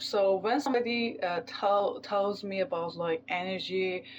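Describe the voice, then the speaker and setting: A woman's medium-pitched voice with a non-native accent and ordinary pitch variation. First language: not English. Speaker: tarot reader. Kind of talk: tarot reading. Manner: halting, many fillers.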